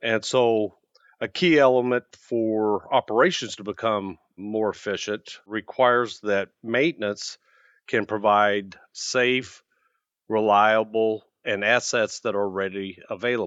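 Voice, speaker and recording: An ordinary speaking voice with an American accent delivers the words at a fairly slow pace with fairly even intonation. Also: man, fairly low pitch for a man. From US Midwest. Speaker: maintenance executive. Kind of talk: casual interview.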